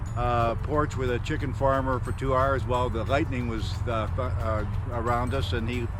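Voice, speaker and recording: Audible room echo over noticeable background noise. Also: man, medium pitch for a man, ordinary pitch variation, moderate pace. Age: 70s. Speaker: retired geologist, touring cyclist. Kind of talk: casual interview. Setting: outdoors. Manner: hesitant, many fillers.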